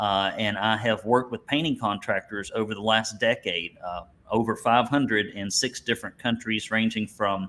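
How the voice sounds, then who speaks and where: With an Alabama accent, a man speaks at medium pitch and a moderate pace. His intonation is fairly even, with hardly any pauses. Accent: Southern US (Alabama). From US South, Alabama. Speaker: business coach for painting contractors. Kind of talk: webinar presentation.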